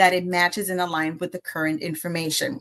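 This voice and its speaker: A woman with a Spanish accent against a quiet background. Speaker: AI educator. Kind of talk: presentation.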